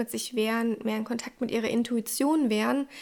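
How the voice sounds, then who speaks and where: A woman speaks at a fairly quick pace, her pitch fairly high. Her intonation stays monotone and flat. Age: 20s. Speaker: podcast host. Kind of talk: solo podcast talk.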